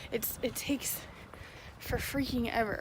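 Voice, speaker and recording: A woman talks at a fairly high pitch with noticeable background noise behind her. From Tennessee, Nashville. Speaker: vlogger, military spouse. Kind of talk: casual vlog. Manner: casual with many fillers.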